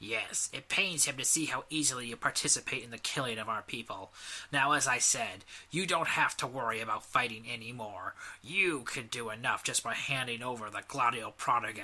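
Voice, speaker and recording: A man's growling put-on character voice, medium in pitch, with ordinary pitch variation and a fairly quick pace. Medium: read story. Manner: measured, formal.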